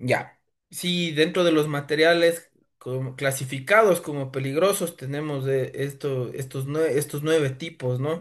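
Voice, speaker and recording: Over a quiet background, a man with an unremarkable speaking voice and fairly high pitch talks at a fairly slow pace with fairly even intonation. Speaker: lawyer and driving school instructor. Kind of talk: lecture. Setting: evening class.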